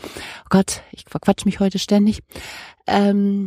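A woman's somewhat breathy voice at medium pitch, dark and mellow in tone, at a fairly slow pace, in a very clean recording with a silent background and a dry, close sound with no echo. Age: 50s. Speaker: podcast host. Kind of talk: casual monologue and interview. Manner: chatty, rambling.

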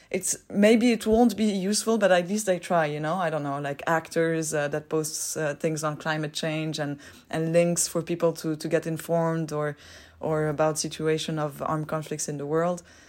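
Very deep and low, a woman's voice moves at a moderate pace with fairly even intonation on a very clean recording with a silent background. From Switzerland, Geneva. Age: 20s. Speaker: humanitarian worker. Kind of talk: casual interview. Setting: hostel.

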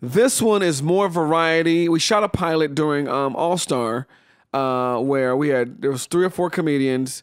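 A man with an ordinary speaking voice talks at a fairly high pitch and a moderate pace, with ordinary pitch variation and very even loudness. The recording is very clean, with a silent background. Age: 40s. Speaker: comedian and writer. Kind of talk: casual chat. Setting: studio.

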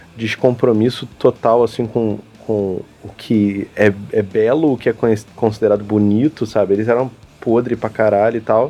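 A man is speaking. Noticeable background noise is audible. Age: 20s. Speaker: podcast host. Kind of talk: casual chat.

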